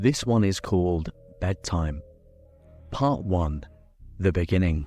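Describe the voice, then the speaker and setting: A man's very deep, low voice with lively intonation at a fairly slow pace, music playing behind. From Britain. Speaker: horror story narrator. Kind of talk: horror story reading, bedtime / ASMR style.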